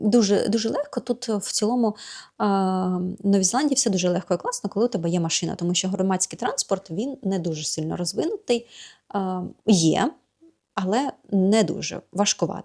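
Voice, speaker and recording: Her tone is dark and mellow, at a medium pitch for a woman. She moves at a moderate pace with ordinary pitch variation. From Ukraine. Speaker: vlogger and yoga teacher. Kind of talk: casual vlog chat. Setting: home yoga studio.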